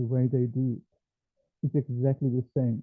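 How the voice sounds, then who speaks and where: Speaking in a medium pitch, a man keeps a monotone, flat intonation. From South Africa. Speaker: culture teacher. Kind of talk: online lecture. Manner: halting, many fillers.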